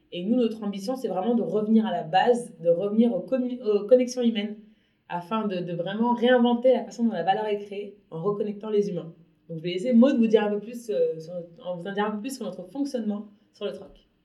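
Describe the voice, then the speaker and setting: Her voice has a dark, mellow tone at a medium pitch with ordinary pitch variation, and this woman's loudness swings widely. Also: moderate pace. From Paris, France. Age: 30s. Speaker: entrepreneur. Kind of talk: interview.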